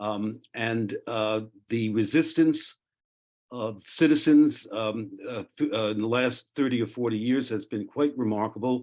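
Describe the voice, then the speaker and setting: Someone with a New York accent speaks at a fairly slow pace, with ordinary pitch variation. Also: man, medium pitch for a man. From New York City. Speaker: zero-waste expert panelist. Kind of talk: panel talk. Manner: halting, many fillers.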